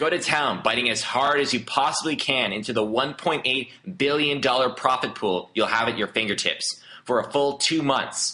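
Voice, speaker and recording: An animated man's voice at medium pitch, bright and sharp in tone, with very even loudness, ordinary pitch variation and a moderate pace. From Canada. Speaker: online marketer. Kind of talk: sales pitch.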